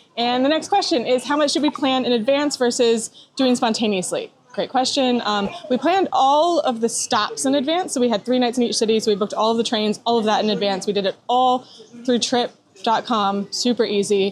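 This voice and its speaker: Against noticeable background noise, a woman speaks at a fairly quick pace and a high pitch, with lively intonation and very even loudness. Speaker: travel vlogger. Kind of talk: vlog narration. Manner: fast.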